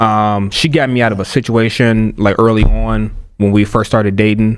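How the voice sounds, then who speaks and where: A man speaks at a moderate pace in an unremarkable speaking voice, pitched fairly low. His intonation is fairly even. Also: very even loudness. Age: 30s. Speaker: podcast co-host. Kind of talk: casual chat.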